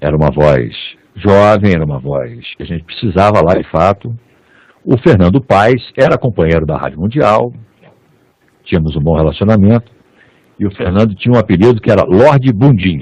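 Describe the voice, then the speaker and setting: A man's fairly low voice with vocal fry, very wide pitch swings and long, frequent pauses. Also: moderate pace. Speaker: radio and TV announcer. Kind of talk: interview answer.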